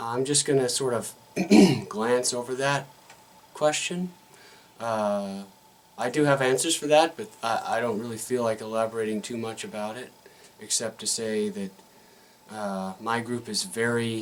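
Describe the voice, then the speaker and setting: At a moderate pace, a man talks with long, frequent pauses over noticeable background noise. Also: medium pitch for a man, ordinary pitch variation. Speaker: RPG video blogger. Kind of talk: casual vlog monologue. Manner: halting, many fillers.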